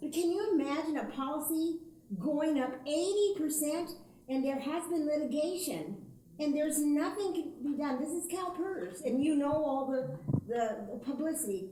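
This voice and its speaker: A woman's high-pitched voice at a moderate pace with lively intonation and audible room echo. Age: 70s. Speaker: audience member, retired teacher. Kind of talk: audience question.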